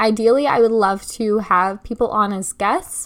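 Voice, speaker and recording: This woman's voice sits fairly high in pitch, and her speech moves fairly slowly. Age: 20s. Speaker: podcast host. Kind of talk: solo monologue. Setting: home bedroom desk.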